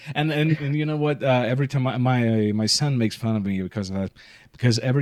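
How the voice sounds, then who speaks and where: A man of medium pitch with a non-native accent, at a very fast pace. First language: not English. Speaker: podcast host. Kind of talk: casual interview.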